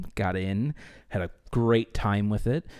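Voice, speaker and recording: A man with a normal speaking voice and a fairly low pitch is heard in a very clean recording with a silent background. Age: 20s. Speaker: podcast co-host and theater performer. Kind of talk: casual chat.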